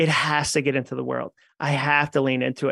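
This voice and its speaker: Speaking at a fairly quick pace, a man sounds animated, with a bright, sharp tone. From New England. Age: 40s. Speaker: author and keynote speaker. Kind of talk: interview conversation.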